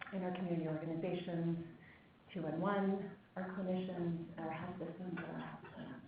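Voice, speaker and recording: Here a woman talks at a moderate pace with a fairly low pitch. Room echo is audible. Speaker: nonprofit executive director. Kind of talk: conference opening remarks. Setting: meeting room with audience, microphone.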